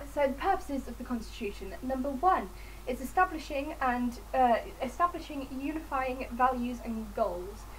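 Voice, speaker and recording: Someone with an English accent is heard with audible room echo and noticeable background noise. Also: woman. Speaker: student. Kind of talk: revision tutorial. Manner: fast. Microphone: poor audio.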